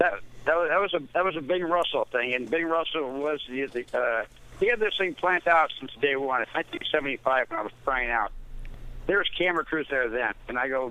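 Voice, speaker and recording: Intonation stays lively as the pace runs fairly quick. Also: man, fairly high pitch for a man. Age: 60s. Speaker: former baseball catcher. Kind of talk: interview. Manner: halting.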